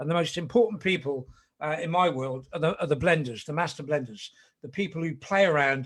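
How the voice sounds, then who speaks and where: A man with a fairly high pitch and an ordinary speaking voice talks at a fairly quick pace with lively intonation. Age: 60s. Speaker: whisky ambassador. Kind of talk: casual chat. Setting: video call.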